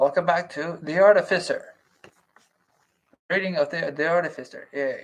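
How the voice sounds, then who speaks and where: With long, frequent pauses, a man talks at a moderate pace. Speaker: channel host reading a book aloud. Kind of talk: casual livestream intro before reading aloud. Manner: loud.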